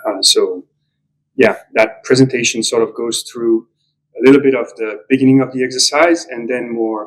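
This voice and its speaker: With a non-native accent, a man talks at a moderate speed. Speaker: property developer. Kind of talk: conference talk. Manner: hesitant, many fillers.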